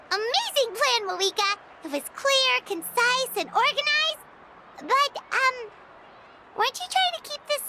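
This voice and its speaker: A squeaky, female-sounding put-on character voice at an extremely high pitch breaks into long, frequent pauses over loud background noise. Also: moderate pace. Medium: video game. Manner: chatty, talks about herself in third person.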